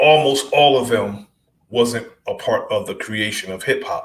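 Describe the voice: There is audible room echo as a man speaks at a fairly slow pace, his fairly bright tone carrying ordinary pitch variation.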